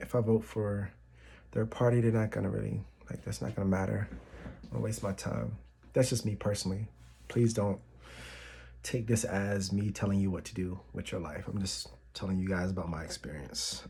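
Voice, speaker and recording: A man with an American accent has a fairly low, dark, mellow voice that is somewhat breathy. He talks at a fairly quick pace with lively intonation, yet takes long, frequent pauses. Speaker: YouTuber. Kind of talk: casual vlog. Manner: soft-spoken; halting.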